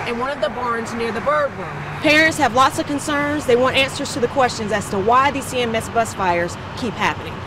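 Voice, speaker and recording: A woman talks at a fairly quick pace in a high pitch. The sound is dry with no echo, and there is noticeable background noise. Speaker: TV news reporter. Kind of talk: TV news report. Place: street. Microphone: handheld.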